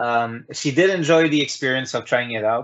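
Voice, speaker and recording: A man with a non-native accent talks at a fairly quick pace, at medium pitch with ordinary pitch variation. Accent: specific non-native accent in English. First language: not English. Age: 30s. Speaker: talk show host. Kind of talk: casual chat. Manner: halting, many fillers and repeats.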